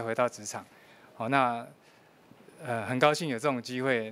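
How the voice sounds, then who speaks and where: Male speech at a moderate pace. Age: 50s. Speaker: working father, former electronics manager; interviewee. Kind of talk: news interview; interview answer. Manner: halting, many filler sounds. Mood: earnest, reflective about hardship. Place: meeting room. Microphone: handheld.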